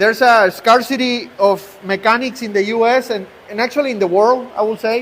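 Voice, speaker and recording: In a Mexican accent, a man talks at a fairly quick pace with an extremely high pitch and fairly even intonation. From Mexico. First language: Spanish. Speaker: truck repair shop owner. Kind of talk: live-stream shop tour. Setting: outdoors at a truck shop, rainy day. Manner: halting, with repetitions and fillers.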